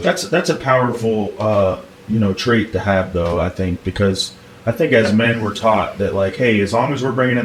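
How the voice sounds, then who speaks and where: A man talks with ordinary pitch variation. Noticeable background noise runs through the clip. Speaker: podcast host. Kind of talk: podcast conversation.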